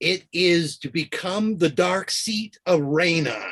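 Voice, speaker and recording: A booming, shouted, put-on character voice moves at a very slow pace with lively intonation. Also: man. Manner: shouting.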